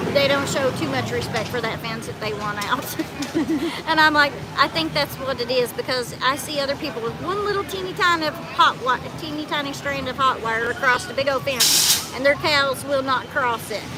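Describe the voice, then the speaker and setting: A woman with an American accent speaks at a high pitch over crowd noise in the background. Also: ordinary pitch variation, moderate pace. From southeastern Kentucky. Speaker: homesteader. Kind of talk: casual chat.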